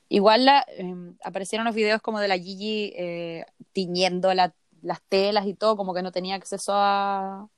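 A woman with a Chilean accent speaks at a moderate pace and medium pitch, her intonation fairly even, in a dry, close sound with no echo. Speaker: podcast co-host. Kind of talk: casual chat.

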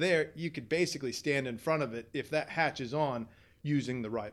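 In a very clean recording with a silent background, a man talks fairly quickly in a normal speaking voice with ordinary pitch variation. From Southern California, US. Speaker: fishing guide and tackle shop worker. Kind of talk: casual interview.

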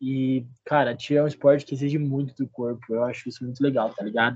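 At a moderate pace, a man with an unremarkable speaking voice speaks at a fairly high pitch. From interior of São Paulo state, Brazil. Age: 20s. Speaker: university student and cheerleading athlete. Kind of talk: casual podcast interview.

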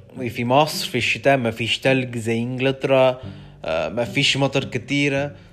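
This man speaks at a medium pitch and a fairly slow pace, his intonation fairly even. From London, England. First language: English (speaking Arabic). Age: 20s. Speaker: language student. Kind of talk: solo podcast monologue. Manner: halting, many hesitations.

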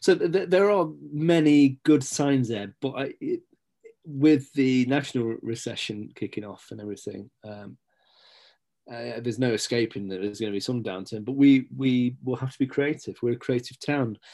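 A man with an East Midlands accent, medium pitch, moderate pace and big swings in loudness. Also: ordinary pitch variation. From Nottinghamshire, England (Stapleford). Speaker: local journalist and community figure. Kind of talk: casual interview chat.

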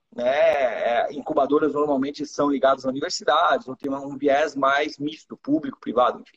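A man at a moderate pace, with lively intonation and a dry, close sound with no echo. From Iran, raised in Brazil from early childhood. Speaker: startup accelerator executive. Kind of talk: live interview. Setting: live stream.

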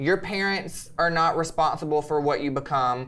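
An animated man with an American accent talks at a fairly quick pace, his fairly high pitch showing ordinary variation. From Alabama, US South. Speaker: boudoir photographer and social media creator. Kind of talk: casual interview chat. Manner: animated, joking.

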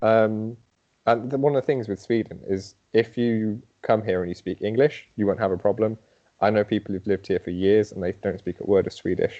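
In an English Midlands accent, a man talks at a fairly quick pace. His fairly low voice keeps a fairly even intonation. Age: young. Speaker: podiatrist. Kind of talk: interview.

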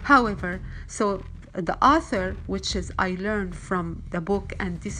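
Over noticeable background noise, a woman talks at a moderate pace, her pitch varying in an ordinary way. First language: Arabic. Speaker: wellness vlogger. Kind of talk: motivational monologue. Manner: halting, many fillers.

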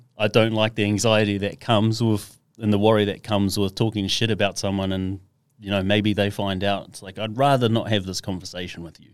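In a very clean recording with a silent background, a man talks at a fairly quick pace and fairly low pitch, monotone and flat, with big swings in loudness. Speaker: mental health speaker for mining workers. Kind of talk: casual interview chat. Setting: podcast studio.

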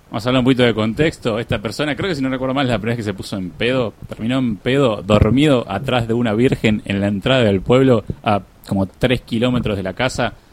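A man at a medium pitch, talking at a very fast pace with ordinary pitch variation, noticeable background noise behind him. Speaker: podcast host. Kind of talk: live radio chat. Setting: radio studio. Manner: animated.

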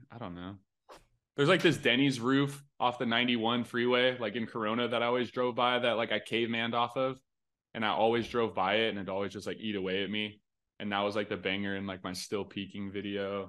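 Here a man with an American accent speaks at a medium pitch. He talks at a very fast pace over a quiet background. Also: ordinary pitch variation. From Southern California. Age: 20s. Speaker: BMX rider. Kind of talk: casual chat.

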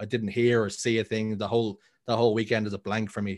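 A man with a Dublin accent speaks in a monotone, flat intonation at a very fast pace and fairly low pitch over a quiet background. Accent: Dublin Irish. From Ireland, Dublin. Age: 30s. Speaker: esports caster. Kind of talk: casual chat.

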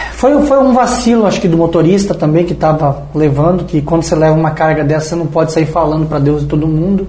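A man speaks very fast with a fairly high pitch, ordinary pitch variation and hardly any pauses. Noticeable background noise and audible room echo surround his voice. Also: very even loudness. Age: 40s. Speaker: business owner. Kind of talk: casual chat.

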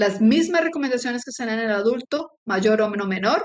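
Fairly slow delivery in an unremarkable speaking voice. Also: woman. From Colombia. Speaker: sports medicine physician and professor. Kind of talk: interview.

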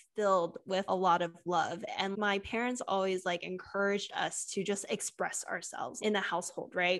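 Against a quiet background, a woman talks at a moderate pace and medium pitch. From California, US. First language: Cantonese. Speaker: podcast host. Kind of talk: casual conversational podcast chat.

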